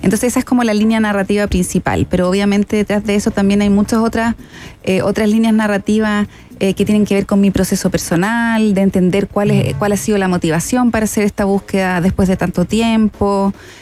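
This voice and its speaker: Woman of medium pitch with a dark, mellow tone, fairly quick pace, very even loudness and fairly even intonation. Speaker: podcast producer. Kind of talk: interview. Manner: halting.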